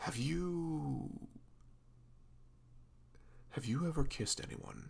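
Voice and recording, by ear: A man puts on a character voice with vocal fry, a fairly high pitch and a very slow pace. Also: ordinary pitch variation.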